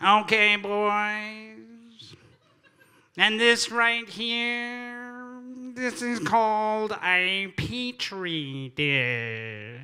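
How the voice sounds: This put-on character voice is nasal and fairly high in pitch. It moves at a very slow pace.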